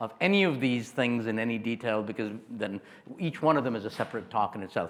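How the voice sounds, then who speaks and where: A loud man talks at a fairly quick pace, his pitch swinging very widely. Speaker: neurologist. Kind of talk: lecture. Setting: stage with audience. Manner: animated.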